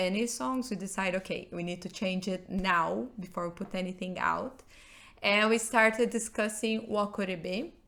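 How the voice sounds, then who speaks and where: Speaking at a medium pitch, a woman talks in a Portuguese accent. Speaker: rock band member. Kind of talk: podcast interview.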